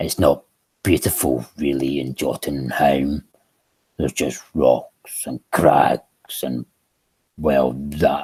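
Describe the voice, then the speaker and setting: In a put-on character voice, a man drawls very slowly in a very deep, low pitch with a weary tone. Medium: read story. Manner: boastful but weary.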